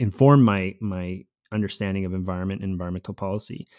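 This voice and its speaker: An unremarkable speaking voice, this man has a Canadian accent and a fairly low pitch, speaking at a moderate pace in a dry, close sound with no echo and a very clean recording over a silent background. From Costa Rica born, raised in Canada from age eight. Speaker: podcast co-host, university researcher. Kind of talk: podcast introduction, conversational. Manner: fluent, conversational, some fillers.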